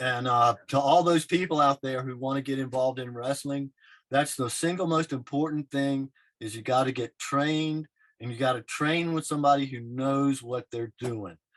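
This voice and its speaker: A man's ordinary speaking voice at a medium pitch and moderate pace, fairly even in intonation, with a dry, close sound, no echo and a quiet background. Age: 60s. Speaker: wrestler and artist. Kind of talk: casual chat.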